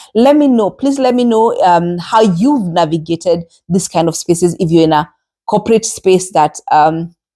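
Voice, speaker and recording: The speaker has a Kenyan accent and a dark, mellow tone. Delivery is at a moderate pace with lively intonation. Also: woman. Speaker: podcast host. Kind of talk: solo podcast monologue. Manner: conversational with frequent hesitations.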